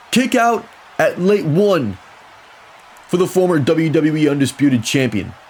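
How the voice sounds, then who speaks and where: Noticeable background noise runs under a man's fairly high-pitched voice. His tone is excited and energetic, with lively intonation. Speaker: wrestling commentator. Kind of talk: wrestling play-by-play commentary. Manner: excited, energetic.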